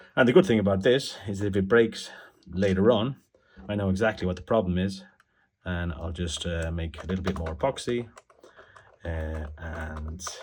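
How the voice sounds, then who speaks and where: A man with an Irish accent and a very deep, low pitch sounds somewhat breathy, with ordinary pitch variation, big swings in loudness and long, frequent pauses. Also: moderate pace. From Ireland. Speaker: toy repair hobbyist. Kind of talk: tutorial. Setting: home desk. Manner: halting.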